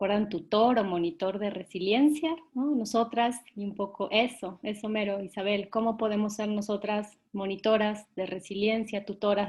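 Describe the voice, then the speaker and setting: A woman talks at medium pitch in a somewhat breathy voice. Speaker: workshop facilitator for a children's organization. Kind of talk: online workshop session. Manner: soft-spoken.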